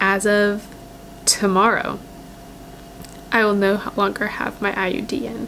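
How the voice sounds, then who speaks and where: Noticeable background noise sits behind the voice. A woman talks at medium pitch. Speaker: lifestyle vlogger. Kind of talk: personal vlog. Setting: at home by a windowsill. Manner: casual, hesitant with fillers.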